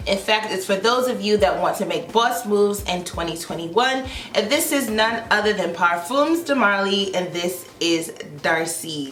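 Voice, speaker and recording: A woman at a medium pitch and moderate pace, animated in tone with lively intonation, amid audible room echo and noticeable background noise. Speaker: beauty YouTuber. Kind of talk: product review vlog. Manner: loud.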